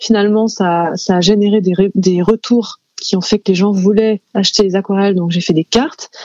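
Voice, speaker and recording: A woman with an ordinary speaking voice talks at medium pitch and a moderate pace, her loudness very even and her intonation fairly even, in a dry, close sound with no echo. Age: 30s. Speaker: illustrator and author. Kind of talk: interview. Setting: studio.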